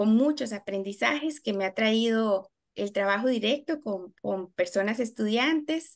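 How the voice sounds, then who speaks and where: Lively intonation with hardly any pauses, against a quiet background. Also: woman, fairly high pitch for a woman, fairly slow pace. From Costa Rica. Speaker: special education teacher and university lecturer; special education teacher, university lecturer. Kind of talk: webinar presentation. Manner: hesitant, many filler sounds. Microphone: video call.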